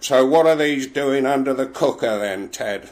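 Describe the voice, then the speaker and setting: A man puts on a gruff character voice at a medium pitch, speaking at a moderate pace with ordinary pitch variation. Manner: accusing.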